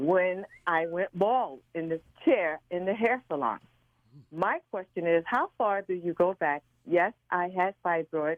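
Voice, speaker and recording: In a normal speaking voice, a woman talks at a fairly slow pace with a fairly low pitch and ordinary pitch variation. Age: 60s. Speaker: caller. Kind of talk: phone-in question. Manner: giggly.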